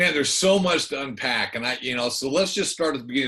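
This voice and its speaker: The man's tone is bright and sharp, and he speaks with an American accent. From California. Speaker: podcast host, former football player. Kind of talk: interview.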